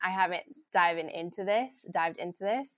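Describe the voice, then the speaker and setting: A woman talks in an ordinary speaking voice. Her pitch is medium, with ordinary variation. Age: 20s. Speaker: church staff member. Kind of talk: casual chat.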